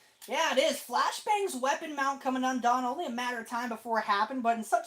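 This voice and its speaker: A woman speaks loudly and very fast in a high voice with lively intonation. Background noise is noticeable. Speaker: robot combat commentator. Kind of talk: live commentary. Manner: animated.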